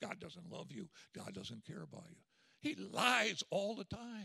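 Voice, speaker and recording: Raising and projecting his voice, a man performs a put-on character voice at a high pitch. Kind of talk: sermon. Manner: taunting, accusing.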